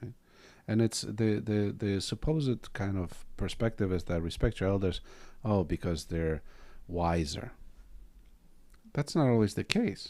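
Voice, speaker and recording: A man with a non-native accent speaks at a fairly slow pace and a fairly low pitch, in a dark, mellow tone with ordinary pitch variation. His pauses are long and frequent, and the recording is very clean with a silent background. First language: not English. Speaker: Zen teacher and podcast host. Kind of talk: casual dharma talk in podcast.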